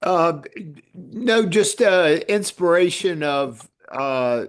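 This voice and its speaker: A man speaks at a very slow pace, his pitch swinging very widely. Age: 70s. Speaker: meeting participant. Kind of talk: casual chat. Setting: video call.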